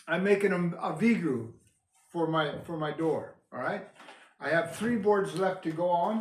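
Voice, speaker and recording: In a room with audible echo, a man talks loudly at a very slow pace in a high voice. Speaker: preacher building a cabin. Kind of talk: casual tutorial vlog. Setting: indoors in unfinished cabin.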